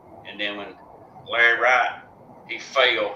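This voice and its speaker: With audible room echo and noticeable background noise, the man's speech moves fairly slowly. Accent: Southern. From Alabama. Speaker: drag racing track announcer. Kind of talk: casual chat. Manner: loud; halting, repetitive.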